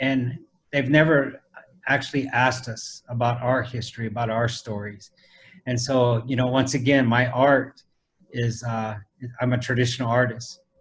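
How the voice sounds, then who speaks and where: A somewhat breathy man's voice at medium pitch, monotone and flat, in an American accent. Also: moderate pace. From US Midwest, Council Bluffs, Iowa; Lakota family. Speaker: traditional artist. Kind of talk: interview on video call. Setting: video call. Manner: conversational, many fillers.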